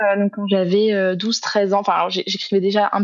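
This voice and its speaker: A woman speaks at a medium pitch. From southern France, Aix-en-Provence. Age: 20s. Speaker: author and student. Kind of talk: podcast interview. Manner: hesitant, many fillers.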